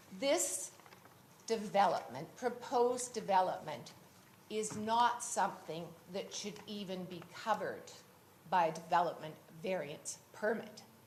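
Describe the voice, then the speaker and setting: A woman speaks at a fairly slow pace with lively intonation, big swings in loudness, and long, frequent pauses. Audible room echo surrounds her voice. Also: medium pitch for a woman. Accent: Canadian. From West Vancouver, Canada. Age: 70s. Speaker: local resident at council hearing. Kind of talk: public hearing statement.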